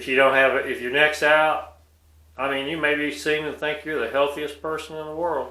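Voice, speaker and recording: A man talks in a bright, sharp tone. Room echo can be heard around his voice. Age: 60s. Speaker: video blogger. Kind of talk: personal monologue.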